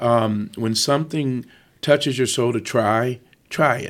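A man speaks with an American accent at a moderate pace. The recording is very clean, with a silent background. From Michigan, Ann Arbor. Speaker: entertainer and music company executive. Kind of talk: casual interview. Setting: studio. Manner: animated.

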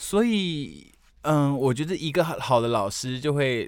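A man speaks with lively intonation. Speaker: podcast co-host. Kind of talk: casual chat.

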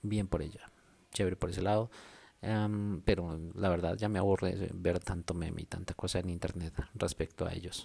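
At a moderate pace, a man talks in a very deep, low voice with a dark, mellow tone and monotone, flat intonation. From Colombia. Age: 30s. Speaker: podcaster. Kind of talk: casual monologue. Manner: modulated radio-style delivery.

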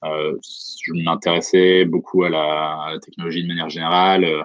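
A man speaks in a very deep, low pitch at a moderate pace. His intonation is flat and monotone. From France, Franche-Comté. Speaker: startup founder and CEO. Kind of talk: interview. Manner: hesitant.

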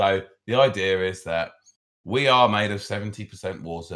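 On a very clean recording with a silent background, a man with a British accent speaks at a fairly low pitch with ordinary pitch variation. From Britain. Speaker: podcast co-host. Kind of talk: casual chat.

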